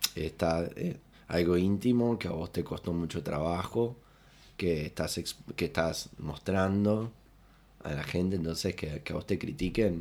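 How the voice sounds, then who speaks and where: A man with a Uruguayan accent speaks fairly slowly in a very deep, low pitch and a dark, mellow tone, with ordinary pitch variation, on a very clean recording with a silent background. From Uruguay, Rocha. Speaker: comedian and impressionist. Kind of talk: casual chat. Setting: studio, in person.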